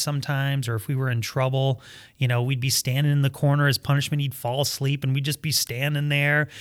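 A man with an American accent talks at a very fast pace, his pitch fairly high. Intonation stays fairly even on a very clean recording with a silent background. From Michigan, US. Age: 40s. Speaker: pastor. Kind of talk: casual chat.

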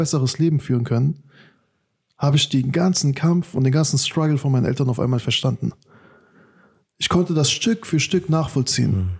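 This man's voice sits fairly high and comes out somewhat breathy. He moves at a fairly quick pace with lively intonation. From Germany. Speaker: podcast host and youth workshop leader. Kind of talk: casual chat.

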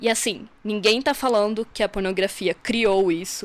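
This woman has an ordinary speaking voice with a fairly high pitch and fairly even intonation. She speaks at a fairly slow pace on a very clean recording with a silent background. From Santa Catarina, southern Brazil. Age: 20s. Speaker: feminist podcaster. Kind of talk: recorded presentation of research.

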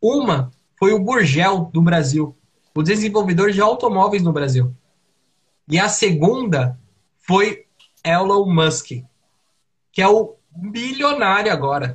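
Speaking in a high pitch with a Brazilian accent, a man goes very slowly, with long, frequent pauses. His intonation is lively, yet his loudness stays very even. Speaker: podcast co-host. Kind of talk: casual chat.

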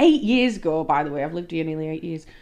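Against a quiet background, a woman speaks in a Yorkshire accent. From Leeds, northern England. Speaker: podcast co-host. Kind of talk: casual chat between a couple.

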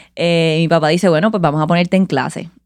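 A woman speaks in an unremarkable speaking voice, fairly low in pitch with fairly even intonation. The recording is very clean, with a silent background. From Puerto Rico, Caguas. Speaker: musician, cuatro player. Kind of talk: interview conversation.

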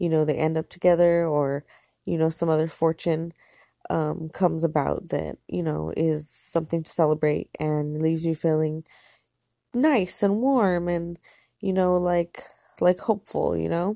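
Heard in a dry, close sound with no echo, the speaker has an American accent, fairly even intonation and a moderate pace. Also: woman. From US (Mexican American). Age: 30s. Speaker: podcaster. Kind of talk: solo monologue. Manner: casual, rambling with fillers.

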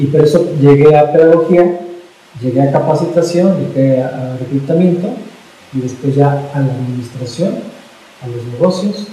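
A man's fairly high voice at a moderate pace, with ordinary pitch variation, long and frequent pauses, noticeable background noise and audible room echo. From Mexico City. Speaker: pedagogue and business consultant. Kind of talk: interview. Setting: office.

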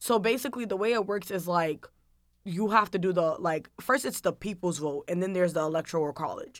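On a very clean recording with a silent background, a woman with an American accent and a normal speaking voice talks at a fairly quick pace, medium pitch and ordinary pitch variation. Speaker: college student. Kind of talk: casual chat.

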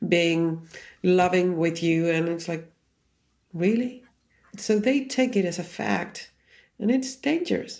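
A woman with a Chilean Spanish accent, fairly low in pitch, lively in intonation, at a very slow pace with long, frequent pauses, on a very clean recording with a silent background. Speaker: Enneagram teacher. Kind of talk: casual chat.

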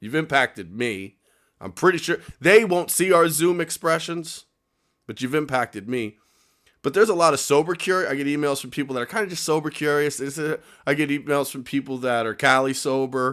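A man has a plain, everyday voice, fairly high in pitch, and speaks fairly quickly with an American accent, lively intonation and big swings in loudness. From upstate New York. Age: 30s. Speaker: podcast host, person in recovery. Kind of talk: casual chat. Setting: video call.

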